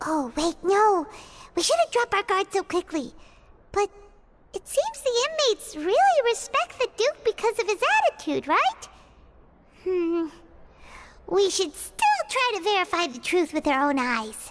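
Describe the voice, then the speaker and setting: A put-on character voice, squeaky and extremely high-pitched, moves at a moderate pace with long, frequent pauses. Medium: video game. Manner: chatty, refers to self in third person.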